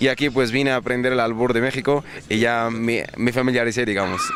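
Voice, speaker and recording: With noticeable background noise behind him, a man speaks at a fairly quick pace and a medium pitch. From Egypt. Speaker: businessman. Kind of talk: interview.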